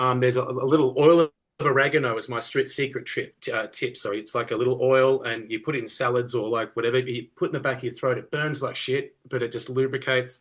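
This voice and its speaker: Speaking with an Australian accent, a man talks at a very fast pace. His medium-pitched voice stays monotone and flat. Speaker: rock singer. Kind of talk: casual interview.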